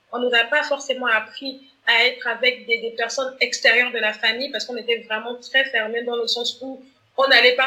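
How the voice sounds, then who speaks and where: At a moderate pace, a woman's high-pitched voice carries a bright, sharp tone and fairly even intonation. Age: 30s. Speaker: author and community manager. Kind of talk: interview conversation. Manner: hesitant, many repetitions.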